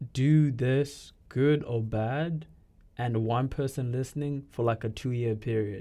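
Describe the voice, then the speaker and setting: A man speaks fairly slowly over a quiet background. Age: 20s. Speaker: podcast co-host. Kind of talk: casual chat.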